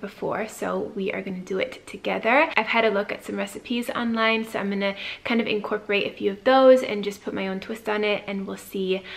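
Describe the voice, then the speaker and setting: Here a woman talks at a fairly quick pace with hardly any pauses. Her intonation stays fairly even. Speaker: lifestyle vlogger. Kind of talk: casual vlog chat. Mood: relaxed and cheerful. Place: home room. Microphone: phone near.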